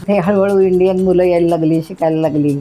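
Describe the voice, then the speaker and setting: Music plays behind a woman speaking. Her medium-pitched voice is monotone and flat. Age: 70s. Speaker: quiz contestant, home-style Indian food caterer in Japan. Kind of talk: interview answer.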